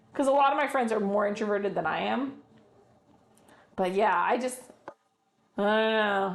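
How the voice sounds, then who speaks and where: A woman speaks loudly. Her intonation is lively. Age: 40s. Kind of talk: casual chat.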